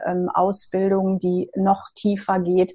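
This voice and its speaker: Speaking at a medium pitch, a woman talks at a very slow pace. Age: 50s. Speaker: hairdresser and energy therapist. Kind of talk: interview.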